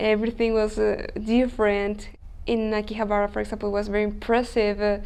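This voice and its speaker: A woman speaks at a fairly quick pace and a fairly high pitch. Her intonation is monotone and flat. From Chile. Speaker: language student. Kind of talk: interview. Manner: hesitant, non-native phrasing.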